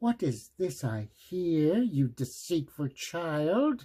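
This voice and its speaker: A man in a put-on character voice, going at a very slow pace. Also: fairly high pitch for a man. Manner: angry, roaring.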